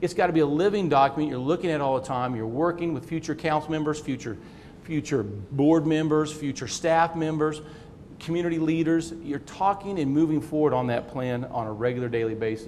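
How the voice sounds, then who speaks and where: A man with an American accent talks at a fairly quick pace, his pitch fairly high and its variation ordinary. Noticeable background noise and audible room echo sit in the recording. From Kansas. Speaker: city manager. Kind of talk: conference talk. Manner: fast; repetitive false starts.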